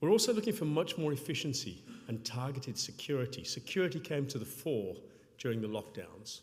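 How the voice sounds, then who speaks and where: A man speaks at a fairly quick pace with a fairly high, somewhat breathy voice and very wide pitch swings. Audible room echo is present. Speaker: payments company public sector executive. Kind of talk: conference talk. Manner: fast.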